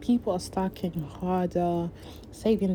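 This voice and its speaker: In an American accent, a woman speaks with a fairly low pitch and a dark, mellow tone. Her voice is somewhat breathy. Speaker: YouTuber. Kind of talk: casual Q&A vlog.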